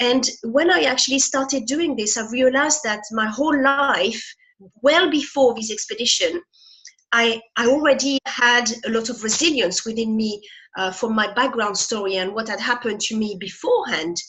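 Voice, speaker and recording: A woman with a French accent speaks at a high pitch and moderate pace, her intonation lively. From France. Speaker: motivational speaker. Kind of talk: interview.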